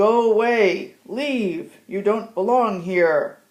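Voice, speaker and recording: A put-on character voice, pitched fairly high, moves at a very slow pace. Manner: shouting, fearful but forceful.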